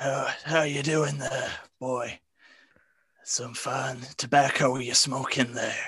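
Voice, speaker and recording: A man with a raspy, medium-pitched voice talks very slowly, leaving long, frequent pauses. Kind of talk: comic improvised noir. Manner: folksy, drawling.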